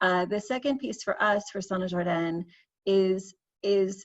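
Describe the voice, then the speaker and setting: A woman with an American accent, medium pitch and very slow pace, over a quiet background. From United States. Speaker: fragrance brand founder. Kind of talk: panel discussion.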